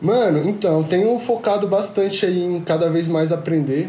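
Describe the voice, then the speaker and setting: Noticeable background noise under a man's moderate-paced speech with ordinary pitch variation. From Rio de Janeiro, then Brasília from age 11. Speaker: music executive producer. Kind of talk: casual interview chat.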